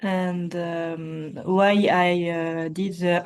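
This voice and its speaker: Her voice sits at a medium pitch. This woman's intonation stays flat and monotone. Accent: French. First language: French. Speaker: participant. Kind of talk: casual chat. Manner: halting.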